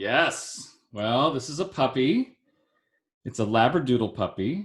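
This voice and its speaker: On a very clean recording with a silent background, a man speaks at a fairly slow pace and medium pitch, somewhat breathy, with lively intonation. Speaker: podcast host. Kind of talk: casual chat.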